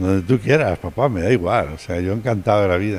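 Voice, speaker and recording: Very deep and low in pitch, a man speaks at a fairly quick pace. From Madrid, Spain. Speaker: pediatric pulmonologist and professor. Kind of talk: TV interview.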